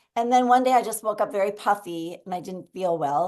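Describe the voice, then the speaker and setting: A woman speaks with a Minnesota accent and lively intonation. The background is quiet. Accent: Minnesota American. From Minnesota, US (Minneapolis). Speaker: guest sharing a chronic illness story. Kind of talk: interview testimony.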